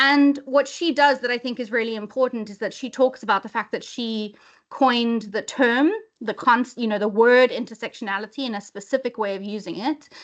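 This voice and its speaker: A high-pitched woman with a South African accent, fairly quick, ordinary pitch variation, big swings in loudness, quiet background. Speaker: webinar presenter, inclusion lead. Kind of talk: webinar presentation. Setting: video call. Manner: hesitant fillers.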